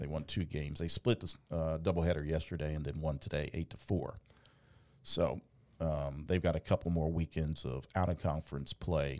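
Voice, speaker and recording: A man talks at a moderate pace in a very deep, low voice with a dark, mellow tone. His intonation stays fairly even, and vocal fry runs through it. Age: 50s. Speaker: podcast host and sports announcer. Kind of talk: casual sports chat. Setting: studio.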